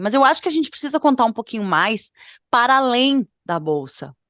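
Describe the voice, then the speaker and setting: A woman with a normal speaking voice uses lively intonation at a moderate pace, the sound dry and close with no echo against a quiet background. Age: 30s. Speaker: fashion podcast co-host. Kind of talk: casual podcast chat. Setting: at home.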